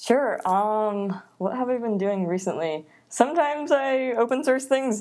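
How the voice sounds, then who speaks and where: In a normal speaking voice, a woman with an American accent talks at a fairly slow pace, fairly high in pitch and lively in intonation, on a very clean recording with a silent background. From Netherlands and US East Coast. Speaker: software engineer. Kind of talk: casual interview chat.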